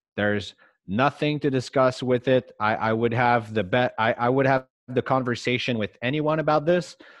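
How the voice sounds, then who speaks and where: At a moderate pace, a man speaks with a medium pitch, ordinary pitch variation and very even loudness. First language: French. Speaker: sports card investor co-host. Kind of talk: casual chat.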